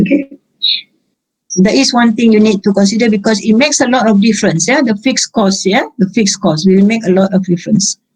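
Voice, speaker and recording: Her voice is fairly high and somewhat breathy. This woman's intonation is lively. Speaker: accounting lecturer. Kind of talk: lecture. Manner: halting.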